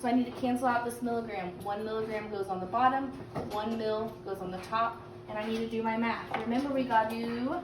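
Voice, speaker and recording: Against noticeable background noise and audible room echo, a woman talks at a fairly quick pace in a fairly high pitch with fairly even intonation. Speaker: teacher. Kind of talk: recorded lesson. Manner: fast.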